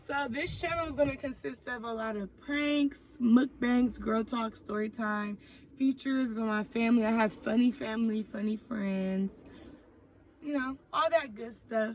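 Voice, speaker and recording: A woman with an American accent speaks in a normal speaking voice at a fairly high pitch and fairly slow pace, with ordinary pitch variation. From Oakland, California. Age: 20s. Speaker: YouTuber. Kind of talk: storytime vlog. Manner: casual, conversational with fillers.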